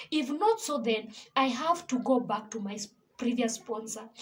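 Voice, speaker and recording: A high-pitched woman's voice with a Kenyan accent and lively intonation. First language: Kikuyu. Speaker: gospel singer and vlogger. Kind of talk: personal testimony.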